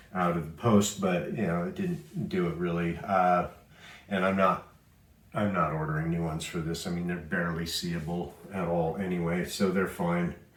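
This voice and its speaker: A man's very deep, low voice, relaxed in tone, monotone and flat, at a moderate pace. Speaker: pinball restoration video maker. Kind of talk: casual restoration vlog / tutorial. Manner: relaxed, with many filler words.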